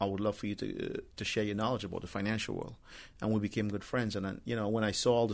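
Very fast, fairly low male voice with vocal fry, monotone and flat intonation, quiet background. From Trinidad, later Brooklyn, New York. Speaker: real estate broker and rideshare driver. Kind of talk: casual chat.

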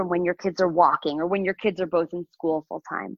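With a plain, everyday voice, a woman talks at a fairly quick pace and a fairly low pitch. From Chicago, US Midwest. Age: 40s. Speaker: sex and relationship coach, entrepreneur. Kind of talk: casual interview. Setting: remote call.

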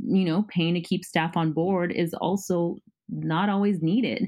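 A woman at a moderate pace with fairly low pitch. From Southern California. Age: 30s. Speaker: business consultant. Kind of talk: interview. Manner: halting.

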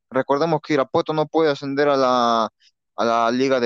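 A man is speaking. The sound is dry and close with no echo, over a quiet background. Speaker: sports podcast host. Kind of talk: casual sports talk. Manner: hesitant, many fillers and repetitions.

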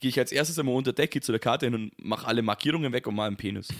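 A man's medium-pitched voice, with ordinary pitch variation, comes through on a very clean recording against a silent background. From Bavaria, Germany. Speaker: podcast co-host. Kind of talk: casual chat.

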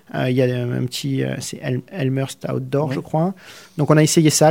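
A man speaks at a moderate pace in a Provençal accent, with a dark, mellow tone. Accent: southeastern French (Provence). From southern France, Arles (Provence). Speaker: immigrant to Canada. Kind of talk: radio interview. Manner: halting, repeats words.

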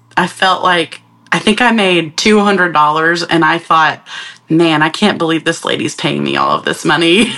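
Over noticeable background noise, a woman with an American accent speaks at a moderate pace with fairly even intonation. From US South, northeast Georgia. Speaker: graphic designer and art director. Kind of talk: casual chat.

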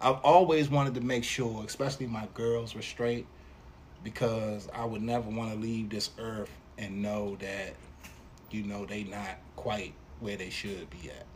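Audible room echo surrounds a man's voice. He speaks fairly slowly with ordinary pitch variation. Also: medium pitch for a man. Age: 50s. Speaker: father of the host, podcast guest. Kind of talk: casual chat.

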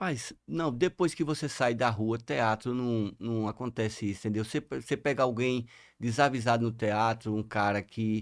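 Speaking at a moderate pace, a man of medium pitch with ordinary pitch variation has a plain, everyday voice on a very clean recording with a silent background. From Sergipe, Brazil (Ribeirópolis). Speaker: lawyer and celebrity bodyguard. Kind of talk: casual chat.

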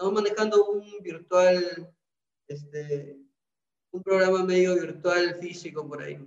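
A man with a high voice, at a fairly slow pace, with fairly even intonation and big swings in loudness. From Peru, Trujillo. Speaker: business incubator coordinator. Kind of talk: interview. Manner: halting.

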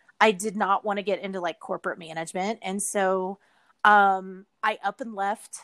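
With a Texan accent, a woman speaks at a moderate pace in monotone, flat intonation, recorded very cleanly against a silent background with a dry, close sound and no echo. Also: medium pitch for a woman. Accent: Texan Southern US. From Texas. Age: 40s. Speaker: hospitality entrepreneur. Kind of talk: casual interview chat.

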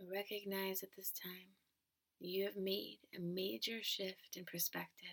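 Using an ordinary speaking voice, a woman of medium pitch goes at a fairly slow pace with fairly even intonation and big swings in loudness. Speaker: meditation guide. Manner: slow, soothing, calm and measured, with long pauses between short phrases.

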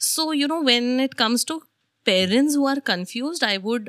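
Speaking at a fairly slow pace, the voice makes very wide pitch swings on a very clean recording with a silent background. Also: woman. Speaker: homeschooling educator and mother. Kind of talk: interview.

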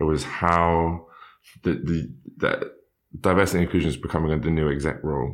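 This man's voice sits at a very deep, low pitch, marked by vocal fry. His intonation stays fairly even. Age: 20s. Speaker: university student and diversity officer. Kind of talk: interview. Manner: halting.

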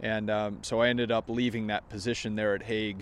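A man talks at a moderate pace in a plain, everyday voice, pitched fairly low. His intonation is fairly even, and the background is quiet. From Maine, US. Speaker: golf podcast host. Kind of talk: casual vlog-style monologue.

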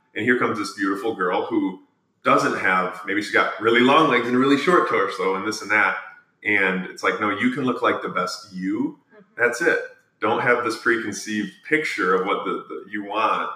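Speaking at a moderate pace with an American accent, a man lets his loudness swing widely. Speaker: podcast host. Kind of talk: casual interview chat. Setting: on location at a juice shop.

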